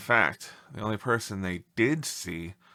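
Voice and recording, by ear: Natural-sounding reading aloud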